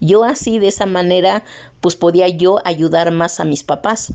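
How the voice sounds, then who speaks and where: Her voice has a dark, mellow tone and fairly low pitch as the woman talks at a fairly slow pace with ordinary pitch variation. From Oaxaca, Mexico (Mixtec region), raised in Mexico City. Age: 50s. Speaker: interviewee, print shop worker. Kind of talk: testimony.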